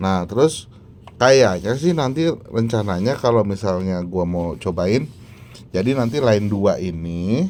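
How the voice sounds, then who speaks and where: Very slow and fairly low-pitched, a man's voice has a dark, mellow tone and ordinary pitch variation. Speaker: tech reviewer. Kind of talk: product review. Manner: casual, with many fillers.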